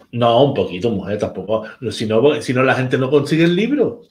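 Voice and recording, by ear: A man talks at medium pitch with big pitch swings. His pace is moderate.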